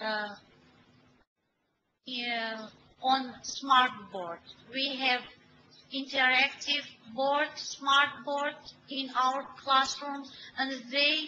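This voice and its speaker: A woman speaks in a raised, projected, high-pitched voice at a very slow pace. Long, frequent pauses break up her fairly even intonation. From Armenia. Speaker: teacher. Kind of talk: webinar presentation. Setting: online webinar. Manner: halting, many hesitations.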